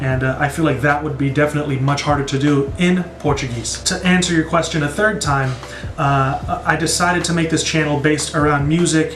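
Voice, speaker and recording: Someone with an American accent talks at a moderate pace with fairly even intonation, over noticeable background noise and audible room echo. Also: man. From United States. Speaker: music reaction YouTuber. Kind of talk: casual Q&A video. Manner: casual with many fillers.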